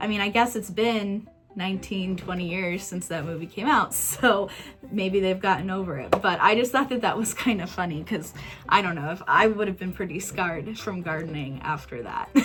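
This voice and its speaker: A woman with a Midwestern American accent speaks in an enthusiastic tone at medium pitch and a moderate pace, with ordinary pitch variation and noticeable background noise. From Kansas, USA. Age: 20s. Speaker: YouTuber, movie reviewer. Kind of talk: casual talk to camera, movie review.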